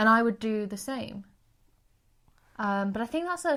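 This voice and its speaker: Her pitch sits fairly high, and her intonation is lively. The woman speaks at a fairly slow pace. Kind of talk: casual podcast conversation.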